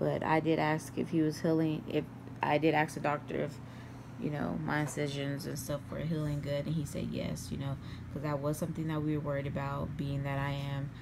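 Noticeable background noise sits behind this recording. A woman speaks at a fairly quick pace. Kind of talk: casual vlog chat. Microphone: phone near.

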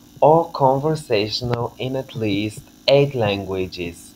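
Over light background noise, a man with a Bulgarian accent speaks at a fairly slow pace with ordinary pitch variation. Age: 20s. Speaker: language teacher. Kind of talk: scripted self-introduction video. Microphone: webcam.

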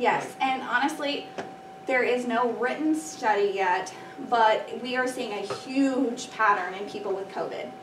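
A woman talks at a fairly slow pace with a fairly high pitch and ordinary pitch variation. Background noise is noticeable. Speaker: allergy nurse. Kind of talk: presentation to students. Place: classroom. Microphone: camera far.

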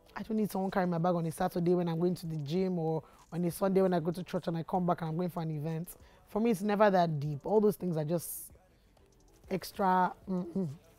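A fairly low-pitched woman at a very fast pace, with fairly even intonation, dry sound with no echo, and faint music in the background. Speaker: YouTuber. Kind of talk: casual Q&A vlog. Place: studio.

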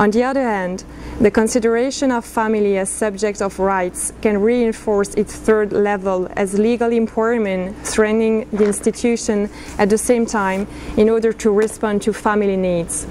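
A woman speaks at a moderate pace with monotone, flat intonation. Light background noise sits behind her. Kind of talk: formal prepared statement. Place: meeting room. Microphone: podium.

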